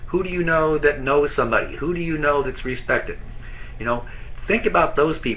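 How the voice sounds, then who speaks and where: With audible room echo around it, the talking moves fairly quickly. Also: man. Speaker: network marketing trainer. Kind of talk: webinar training presentation. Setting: live online broadcast from an office. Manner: fast.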